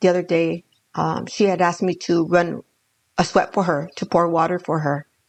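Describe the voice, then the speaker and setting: A woman with a Spanish accent speaks at a moderate pace in a fairly low voice with fairly even intonation, recorded dry and close with no echo. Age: 60s. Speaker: danza elder and grandmother. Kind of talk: casual conversation, podcast interview.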